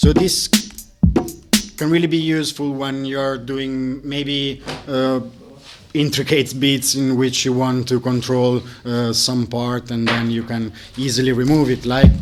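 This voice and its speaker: A man speaks slowly, at a medium pitch, with fairly even intonation. He leaves long, frequent pauses. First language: not English. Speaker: live coding workshop instructor. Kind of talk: tutorial. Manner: halting.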